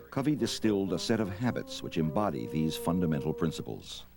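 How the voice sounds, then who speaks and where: The speaker talks at a fairly quick pace with very wide pitch swings. Music plays in the background. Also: man. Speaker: documentary narrator. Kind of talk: documentary narration.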